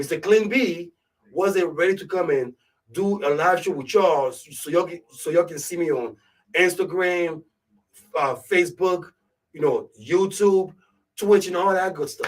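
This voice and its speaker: A high-pitched man with a strong Ivorian accent speaks at a moderate pace with ordinary pitch variation, big swings in loudness and long, frequent pauses. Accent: thick West African (Ivorian). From Ivory Coast, West Africa. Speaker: radio show host / DJ. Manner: casual, conversational.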